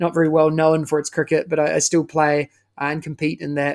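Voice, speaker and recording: In a New Zealand accent, a man talks at a moderate pace on a very clean recording with a silent background. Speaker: education consultant. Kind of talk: interview.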